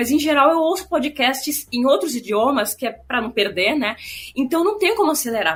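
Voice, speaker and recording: Over noticeable background noise, a woman speaks at a very fast pace with a high pitch. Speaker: film podcast co-host. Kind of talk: casual chat.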